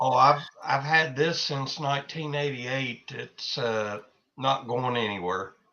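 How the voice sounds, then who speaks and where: An ordinary speaking voice from a man, medium pitch, ordinary pitch variation, and a fairly slow pace. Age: 60s. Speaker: army veteran. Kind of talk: casual chat.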